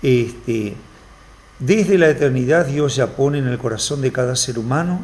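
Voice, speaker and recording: A man with an ordinary speaking voice talks at a moderate pace and medium pitch, using ordinary pitch variation. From Argentina, Formosa. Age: 50s. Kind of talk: TV interview.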